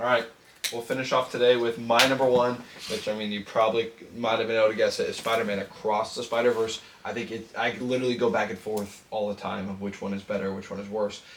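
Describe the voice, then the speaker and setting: A man's very fast, monotone delivery at medium pitch, flat in intonation, over noticeable background noise. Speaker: podcast co-host. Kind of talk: casual chat.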